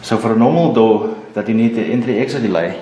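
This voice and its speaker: At a moderate pace, a man with a non-native accent speaks at a fairly low pitch. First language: not English. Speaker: alarm installer. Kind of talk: how-to tutorial.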